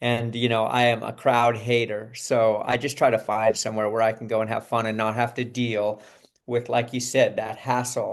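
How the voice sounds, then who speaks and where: This man has a medium pitch and a flat, monotone intonation. He talks at a moderate pace. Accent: Californian. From Southern California. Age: 60s. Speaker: actor. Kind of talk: interview. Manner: casual, conversational.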